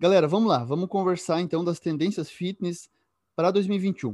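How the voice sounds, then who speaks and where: Recorded dry and close with no echo against a quiet background, a man with a high pitch and a dark, mellow tone speaks at a moderate pace with ordinary pitch variation. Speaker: radio host and exercise science professor. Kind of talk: interview chat.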